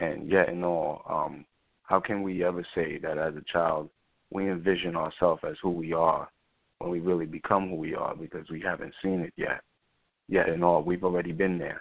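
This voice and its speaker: The speaker talks at a moderate pace in a New York accent, with monotone, flat intonation. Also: man, very deep, low pitch for a man. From New York City, South Bronx. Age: 20s. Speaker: spoken word artist and rapper. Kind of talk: interview.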